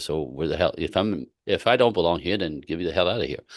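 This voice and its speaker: Someone with a Quebec accent speaks at a very fast pace against a quiet background. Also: man. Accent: Quebec Canadian. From Quebec City, Canada. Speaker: relationship coach. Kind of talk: interview. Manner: animated.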